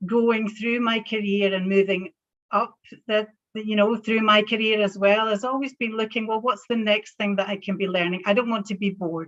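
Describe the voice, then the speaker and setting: A woman speaks at a moderate pace in a Scottish accent. Her pitch is fairly high. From Scotland. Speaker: banking professional. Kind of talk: panel talk.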